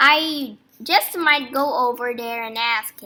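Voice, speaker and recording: A loud, put-on character voice from a woman, high in pitch and fairly slow in pace. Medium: read story. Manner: loud, brash.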